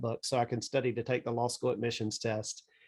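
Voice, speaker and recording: Here a man talks with a Southern US accent. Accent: Southern drawl. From US South, south Georgia. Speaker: estate planning attorney, army veteran. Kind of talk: interview. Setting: podcast.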